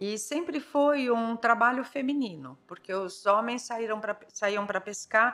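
A woman at a fairly high pitch, fairly slow pace and ordinary pitch variation, hardly any pauses, with music in the background. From São Paulo city, Brazil. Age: 50s. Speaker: ceramicist. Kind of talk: interview.

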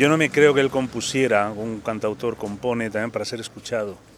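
A man with fairly even intonation, over noticeable background noise. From Indian origin, raised in Spain. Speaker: bookseller. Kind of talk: casual interview.

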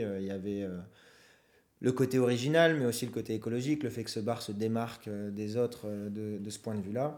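A man's medium-pitched voice, fairly even in intonation, at a fairly quick pace. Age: 20s. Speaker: student entrepreneur, co-founder of a startup. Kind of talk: interview. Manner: halting, repeats words.

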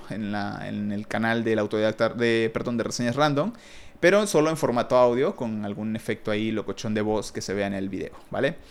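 Using a normal speaking voice, a man talks at medium pitch and a fairly quick pace with ordinary pitch variation. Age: 30s. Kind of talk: casual monologue.

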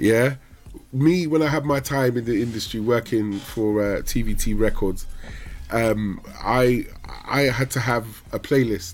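In a plain, everyday voice, a man speaks at medium pitch and a fairly slow pace, with ordinary pitch variation. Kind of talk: casual chat. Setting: video call.

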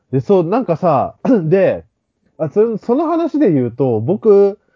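A man's high-pitched voice rises and falls across very wide pitch swings. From Fukuoka, Japan. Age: 30s. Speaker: podcast co-host. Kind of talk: casual chat.

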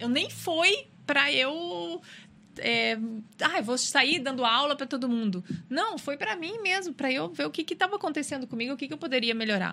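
A woman's high, bright, sharp voice, raised and projected, with very wide pitch swings. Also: moderate pace. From Rio Grande do Sul, Brazil. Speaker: personal trainer. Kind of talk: casual interview chat.

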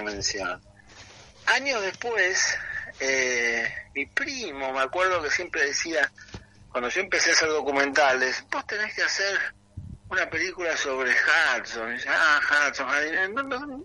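A man speaks fairly slowly while noticeable background noise runs underneath. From Argentina, partly raised in England. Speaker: film director. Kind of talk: interview. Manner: halting, many fillers.

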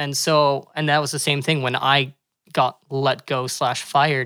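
With a Canadian accent, a man speaks in a bright, sharp tone and flat, monotone intonation on a very clean recording with a silent background. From Calgary, Alberta, Canada. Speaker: parkour gym co-owner and coach. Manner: fast talker.

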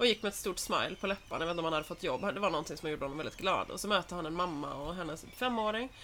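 At a very fast pace, a woman talks in a medium-pitched voice. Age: 30s. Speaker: podcast co-host. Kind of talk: casual chat. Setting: in her flat with balcony door open.

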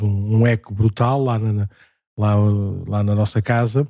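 Dry and close with no echo, a man's dark, mellow tone sits on a very clean recording with a silent background. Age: 40s. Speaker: parish priest, podcast host. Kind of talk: casual chat.

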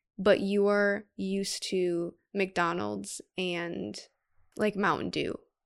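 A woman with an American accent speaks at a very slow pace in a medium pitch. Her intonation is monotone and flat, in a very clean recording with a silent background. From US Midwest, Wisconsin (Brookfield). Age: 20s. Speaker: fashion design student. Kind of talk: casual chat.

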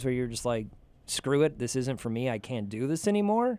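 Speaking at a moderate pace, a man with a plain, everyday voice uses lively intonation at medium pitch. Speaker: radio DJ and podcast host. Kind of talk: casual chat.

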